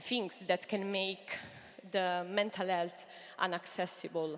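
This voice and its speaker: A woman with an Italian accent speaks at a fairly slow pace and a medium pitch. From Italy. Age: 30s. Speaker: entrepreneur. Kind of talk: pitch talk. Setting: stage with audience. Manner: halting.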